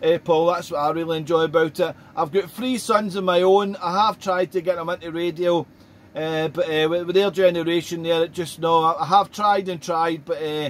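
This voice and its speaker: Speaking at a moderate pace with a Scottish accent, a man with a high voice keeps his intonation fairly even. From Scotland. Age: 40s. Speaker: ham radio operator. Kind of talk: casual chat. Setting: radio contact. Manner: halting.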